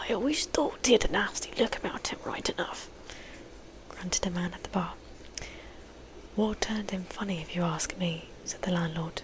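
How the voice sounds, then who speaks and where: Whispering at a moderate pace with long, frequent pauses, the voice sits over noticeable background noise. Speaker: ASMR creator, book reader. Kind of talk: book reading aloud with character voices. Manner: soft-spoken, whispery, casual, chatty.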